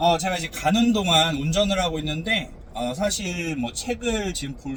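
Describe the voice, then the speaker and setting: Speaking at a fairly slow pace, a man swings his pitch very widely. Noticeable background noise and audible room echo surround him. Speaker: pastor. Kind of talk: casual talk while driving. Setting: in a car. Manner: slow and careful.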